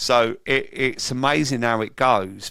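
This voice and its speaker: A man with a London accent and a bright, sharp tone at a very slow pace, on a very clean recording with a silent background. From London, England. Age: 50s. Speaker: sober coach and recovery event organiser. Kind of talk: interview, personal testimony.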